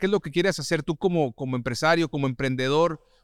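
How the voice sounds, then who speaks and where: A man with a normal speaking voice, fairly high in pitch with ordinary pitch variation, in a dry, close, echo-free sound on a very clean recording with a silent background. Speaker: podcast host. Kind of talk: casual interview.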